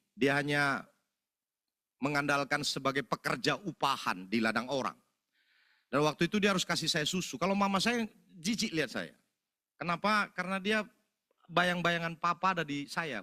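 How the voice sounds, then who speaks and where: With a Medan accent, a man talks in an animated tone at a moderate pace, his fairly high, bright, sharp voice carrying lively intonation and long, frequent pauses, in a very clean recording with a dry, close sound, no echo and a silent background. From North Sumatra, Indonesia (Medan, Karo area). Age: 40s. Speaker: preacher giving testimony. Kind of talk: sermon testimony. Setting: church service.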